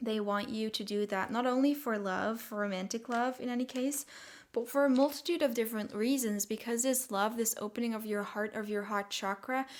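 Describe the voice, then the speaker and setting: Speaking with a non-native accent, a woman talks at a fairly quick pace with a fairly high pitch and fairly even intonation. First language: not English. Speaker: tarot reader. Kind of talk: tarot reading monologue. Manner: hesitant, many fillers.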